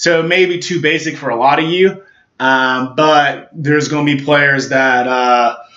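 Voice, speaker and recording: A man's fairly high, bright, sharp voice at a moderate pace with fairly even intonation, amid audible room echo. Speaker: gaming YouTuber. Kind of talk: casual monologue. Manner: halting.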